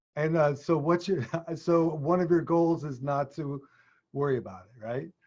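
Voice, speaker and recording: A man with an American accent and a plain, everyday voice speaks at a moderate pace, with a fairly high pitch and ordinary pitch variation. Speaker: leadership consultant. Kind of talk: casual discussion.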